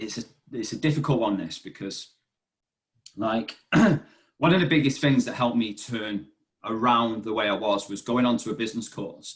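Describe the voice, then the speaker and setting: A man speaks in a normal speaking voice at a medium pitch. His pace is moderate, with ordinary pitch variation. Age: 30s. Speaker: fitness business manager. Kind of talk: podcast interview. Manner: casual.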